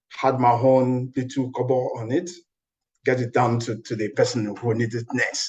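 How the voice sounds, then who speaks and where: A man with a Nigerian accent talks at a moderate pace in a medium-pitched, somewhat breathy voice with monotone, flat intonation. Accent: Nigerian (Yoruba) English. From Nigeria, Ibadan (Oyo State). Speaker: scientist. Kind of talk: interview.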